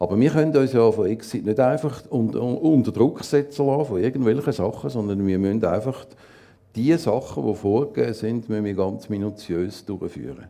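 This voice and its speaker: A man with a dark, mellow tone and vocal fry speaks at a medium pitch and moderate pace, his intonation lively. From Zurich, Switzerland. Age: 60s. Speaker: assisted-dying companion, former teacher and psychologist. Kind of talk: interview on stage. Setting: stage with audience.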